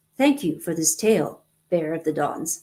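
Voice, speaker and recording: At a moderate pace and middle pitch, the speaker uses a put-on character voice with a growling edge. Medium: read story. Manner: cold, unemotional.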